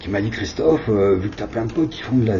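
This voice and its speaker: The intonation is lively. Audible room echo and noticeable background noise surround the voice. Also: man. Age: 60s. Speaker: video artist. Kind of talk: interview. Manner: hesitant.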